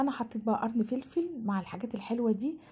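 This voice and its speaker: A woman speaks at a fairly high pitch with a dark, mellow tone. Her voice is somewhat breathy, with ordinary pitch variation. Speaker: cooking channel host. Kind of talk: cooking tutorial. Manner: fast; animated.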